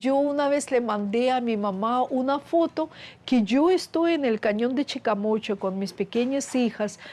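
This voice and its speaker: Against a quiet background, a woman with a Russian accent speaks at a fairly slow pace in a high pitch, her tone dark and mellow and her intonation lively. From Russia (Soviet Union). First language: Russian (speaking Spanish). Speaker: scientist. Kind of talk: interview.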